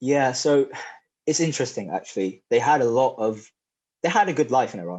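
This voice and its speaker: Long, frequent pauses break up a man's otherwise fairly quick pace. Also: medium pitch for a man, lively intonation. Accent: English. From England, raised in Oxford area. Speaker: powerlifting champion and personal trainer. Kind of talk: podcast interview. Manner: casual, with filler words.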